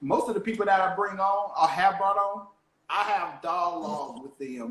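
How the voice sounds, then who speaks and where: Ordinary pitch variation marks a man speaking with a Southern US accent. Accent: country, Southern drawl. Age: young. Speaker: motivational speaker and podcast host. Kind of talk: casual chat.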